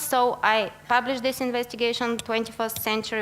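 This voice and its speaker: In a Bulgarian accent, a woman speaks at a fairly high pitch. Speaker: investigative journalist. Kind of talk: conference talk. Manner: hesitant, many fillers.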